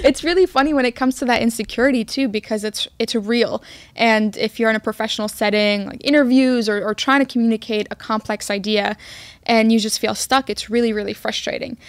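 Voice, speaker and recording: A woman's fairly high voice, an ordinary speaking voice, with ordinary pitch variation and a fairly quick pace. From Queens, New York (immigrated from Egypt as a child). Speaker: podcast co-host. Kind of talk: casual chat.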